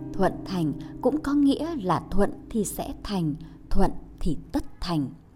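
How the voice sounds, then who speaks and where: A woman's dark, mellow voice with vocal fry, very wide pitch swings and a very slow pace. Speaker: podcast editor and narrator. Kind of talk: scripted narration, reading an essay aloud.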